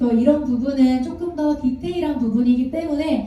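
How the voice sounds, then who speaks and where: In a high pitch, a woman talks at a moderate pace, with audible room echo around her. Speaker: network marketing distributor presenter. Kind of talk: seminar presentation. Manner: gentle, soft-spoken.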